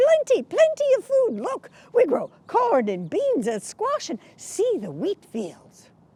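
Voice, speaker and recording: Doing a put-on character voice, a man speaks with extremely high pitch for a man at a fairly slow pace, with hardly any pauses. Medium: solo performance. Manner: eager, repeats words.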